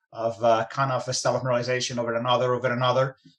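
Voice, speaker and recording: A man with a medium-pitched voice speaks with a Spanish accent. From Spain. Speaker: mining company executive. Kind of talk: interview.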